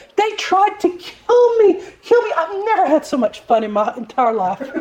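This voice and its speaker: The put-on character voice is extremely high with very wide pitch swings. The pace is moderate. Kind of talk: posh, refined.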